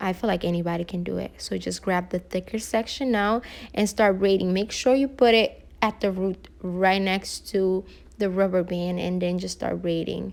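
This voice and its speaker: A non-native accent comes through. Speech unfolds at a moderate pace. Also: woman. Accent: foreign. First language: not English. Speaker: hair tutorial vlogger. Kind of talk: tutorial. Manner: casual, hesitant.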